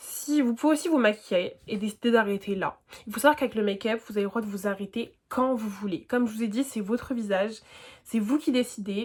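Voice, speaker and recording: Somewhat breathy, the speech shows ordinary variation in pitch. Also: woman. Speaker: beauty youtuber. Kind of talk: tutorial. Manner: fast; casual slangy.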